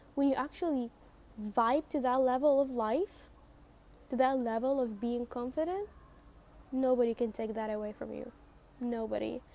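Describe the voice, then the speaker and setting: In a non-native accent, a woman with a high pitch and a dark, mellow tone speaks at a moderate pace, with ordinary pitch variation and long, frequent pauses. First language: not English. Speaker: self-help podcaster. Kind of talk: motivational monologue. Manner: repetitive, emphatic.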